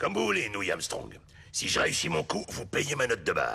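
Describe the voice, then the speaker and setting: A man puts on a raspy character voice with a fairly low pitch at a moderate pace. Light background noise is audible. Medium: dub.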